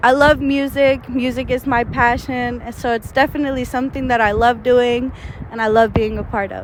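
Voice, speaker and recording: A woman talks in an American accent, her pitch high and her intonation monotone and flat. She goes at a moderate pace, with noticeable background noise behind her. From Texas, Houston. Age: 20s. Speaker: rapper. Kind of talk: interview. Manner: casual, many fillers.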